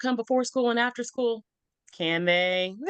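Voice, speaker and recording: With a Texan accent, a woman speaks in a high, animated voice with ordinary pitch variation. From Texas. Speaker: school counselor. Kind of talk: podcast interview.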